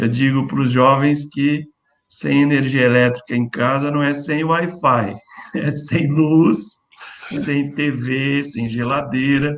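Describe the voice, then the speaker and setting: A very slow pace with fairly even intonation. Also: man, fairly high pitch for a man. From Brazil, rural interior of São Paulo state. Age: 60s. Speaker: engineer and former city official. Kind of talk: panel discussion.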